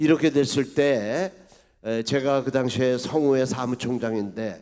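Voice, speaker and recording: Speaking at a very slow pace, a man with a fairly high pitch and a dark, mellow tone shows ordinary pitch variation. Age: 80s+. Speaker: retired army general. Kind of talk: speech at an event. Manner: halting with fillers.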